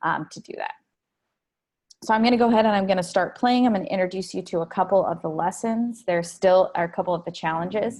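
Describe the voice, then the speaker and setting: Against a quiet background, a woman speaks at a very fast pace at medium pitch with ordinary pitch variation. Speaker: education company presenter. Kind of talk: webinar product demo. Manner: casual with many fillers.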